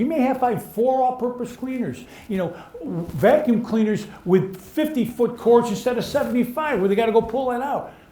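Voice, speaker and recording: A man talks at a fairly quick pace in an extremely high pitch, with audible room echo and noticeable background noise. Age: 70s. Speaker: cleaning industry veteran, panelist. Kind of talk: live panel discussion. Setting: live onsite event with audience.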